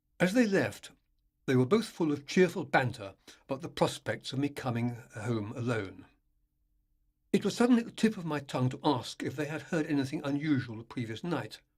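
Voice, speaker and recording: Somewhat breathy and fairly high, a man's voice moves at a fairly quick pace with very wide pitch swings and long, frequent pauses. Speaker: author. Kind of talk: ghost story reading.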